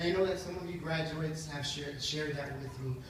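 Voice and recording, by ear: With audible room echo, a man speaks at a fairly high pitch with ordinary pitch variation.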